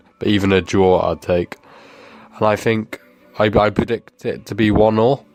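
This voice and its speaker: Over noticeable background noise, a man speaks at a moderate pace. His pitch is fairly low and his intonation fairly even. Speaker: podcast co-host. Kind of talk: recorded voice message.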